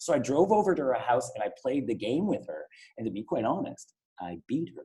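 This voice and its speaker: A man with a Canadian accent at a fairly quick pace, with big swings in loudness. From Ottawa, Canada. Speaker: event host. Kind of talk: interview. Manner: fast.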